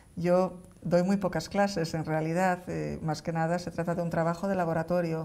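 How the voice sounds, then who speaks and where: With a Galician accent, a woman speaks at a fairly slow pace in a fairly low voice with a dark, mellow tone. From Galicia, A Coruña. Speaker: neuroscientist; guest. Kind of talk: interview. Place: studio. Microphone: lapel.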